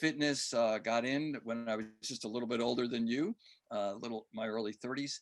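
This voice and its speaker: At a moderate pace, a man talks in a plain, everyday voice with a medium pitch and fairly even intonation. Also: very clean recording, silent background. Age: 60s. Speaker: fitness coach and author. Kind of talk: podcast interview.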